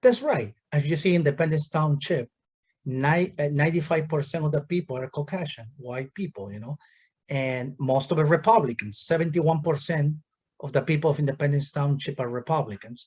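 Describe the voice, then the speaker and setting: A man's fairly high, somewhat breathy voice with a Peruvian accent, a fairly quick pace and ordinary pitch variation. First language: Spanish. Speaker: township supervisor, politician. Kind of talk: political discussion.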